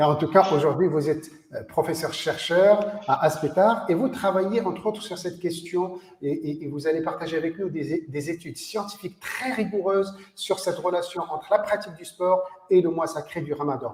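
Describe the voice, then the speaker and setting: Through noticeable background noise, a high-voiced man speaks at a moderate pace with ordinary pitch variation. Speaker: sports federation official and host. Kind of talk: interview. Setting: video call.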